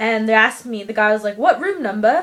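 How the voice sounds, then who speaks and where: A woman talks very fast in an animated tone at a fairly high pitch. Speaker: vlogger. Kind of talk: casual chat.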